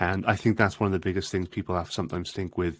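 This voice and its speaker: With a Welsh accent, a man speaks in a very deep, low pitch and fairly even intonation on a very clean recording with a silent background. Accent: Welsh (Swansea). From Wales, Swansea. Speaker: marketing industry association director. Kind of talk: podcast interview.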